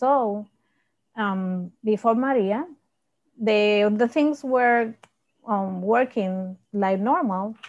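Against a quiet background, a woman with a fairly high pitch and ordinary pitch variation talks at a very slow pace, leaving long, frequent pauses. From Puerto Rico. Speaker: high school science teacher. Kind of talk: panel discussion. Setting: video call. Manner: halting. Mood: earnest, reflective. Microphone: earbuds.

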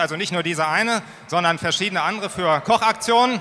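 A man uses a raised, projected voice. He moves at a fairly quick pace. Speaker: party staff presenter. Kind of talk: stage presentation. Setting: stage with audience. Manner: casual, improvising. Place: hall. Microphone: handheld.

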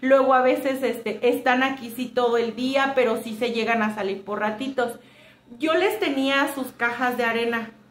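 Fairly slow speech with ordinary pitch variation and audible room echo. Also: woman. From Mexico. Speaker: homemaker vlogger. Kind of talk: casual vlog talk to viewers. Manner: chatty, with many fillers. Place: home room. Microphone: phone near.

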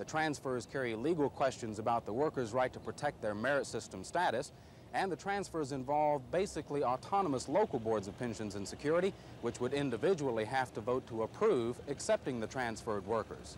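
Lively in intonation and fairly quick, a man speaks in a dry sound with no echo and light background noise. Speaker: TV news reporter. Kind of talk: news report stand-up. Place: street.

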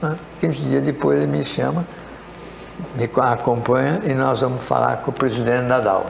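Lively intonation carries over light background noise and an audible echo from the room. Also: man. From Brazil, São Paulo state (Itararé); São Paulo state, Brazil. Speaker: retired mining engineer; interview guest. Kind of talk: interview storytelling. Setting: studio. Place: studio. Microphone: lapel.

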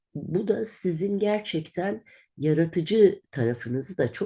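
Lively intonation from a woman speaking at a fairly slow pace. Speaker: astrologer. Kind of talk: monthly horoscope reading. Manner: conversational, with hesitations.

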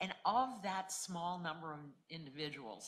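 With lively intonation, a woman speaks at a low pitch in a bright, sharp tone.

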